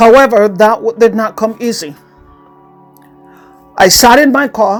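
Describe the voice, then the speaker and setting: Music plays in the background. Over it, a woman speaks at a fairly high pitch. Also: ordinary pitch variation, fairly slow pace. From Latin America. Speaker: life coach. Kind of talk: personal motivational story.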